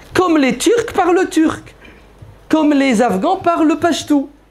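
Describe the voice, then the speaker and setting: Over noticeable background noise, a man speaks at a fairly slow pace in an extremely high pitch. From France. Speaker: preacher. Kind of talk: Q&A lecture with audience. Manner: animated.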